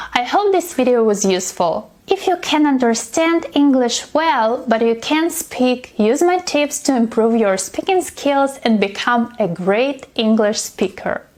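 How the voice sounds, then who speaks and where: Against noticeable background noise, a high-pitched woman speaks at a fairly slow pace with hardly any pauses, very even loudness and very wide pitch swings. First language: not English. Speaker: English teacher. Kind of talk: tutorial.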